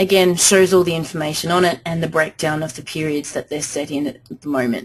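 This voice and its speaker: An ordinary speaking voice at a moderate pace, with ordinary pitch variation. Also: woman. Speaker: software trainer. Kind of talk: webinar tutorial. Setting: webinar.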